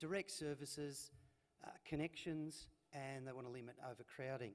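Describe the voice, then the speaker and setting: A man speaks at a fairly slow pace in an Australian accent, his fairly high voice moving with ordinary pitch variation. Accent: Australian drawl. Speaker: transport manager. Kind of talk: conference presentation. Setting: stage with audience. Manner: hesitant, many fillers.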